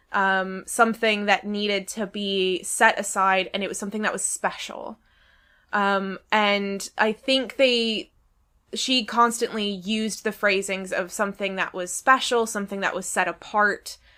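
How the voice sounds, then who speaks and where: A woman speaks with an American accent at medium pitch and a fairly slow pace, her tone bright and sharp. Her intonation is monotone and flat, on a very clean recording with a silent background. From United States. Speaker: podcast host, anthropologist of religion. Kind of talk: casual academic discussion.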